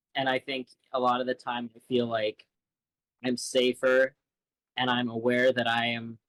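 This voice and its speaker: A man talks in a flat, monotone way with long, frequent pauses. The sound is dry and close, with no echo. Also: medium pitch for a man, moderate pace. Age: 20s. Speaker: college student, singer and visual artist. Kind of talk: interview. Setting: live stream interview.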